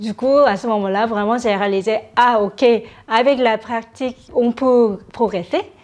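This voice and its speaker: Spoken with a Korean accent, the voice has ordinary pitch variation and moves at a fairly slow pace. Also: woman, fairly high pitch for a woman. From South Korea. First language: Korean (speaking French). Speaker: startup founder. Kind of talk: interview. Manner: hesitant, many fillers.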